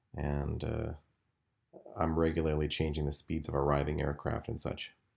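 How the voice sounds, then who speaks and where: A man's very deep, low voice, calm in tone, at a moderate pace. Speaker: game developer and video game streamer. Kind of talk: gameplay commentary. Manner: calm, unexciting delivery; hesitant, many fillers.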